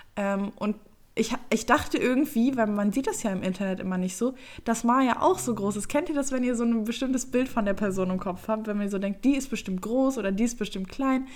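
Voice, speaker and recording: Fairly quick and fairly high-pitched, a woman speaks with ordinary pitch variation. Hers is a plain, everyday voice. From Germany, Düsseldorf. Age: 20s. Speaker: YouTuber and podcast co-host. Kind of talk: casual chat.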